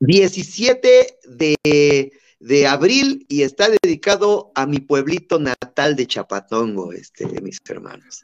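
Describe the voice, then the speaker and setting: A man with a fairly high voice talks at a very slow pace, his pitch swinging very widely and his loudness rising and falling sharply. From Mexico. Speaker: marathon runner. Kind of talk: interview.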